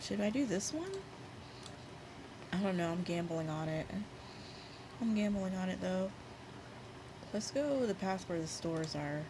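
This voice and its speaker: Soft-spoken and at medium pitch, a woman talks at a moderate pace with lively intonation, very even loudness and long, frequent pauses, in a space with audible room echo. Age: 30s. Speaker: video game streamer. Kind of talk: gameplay commentary. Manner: casual, thinking aloud with fillers.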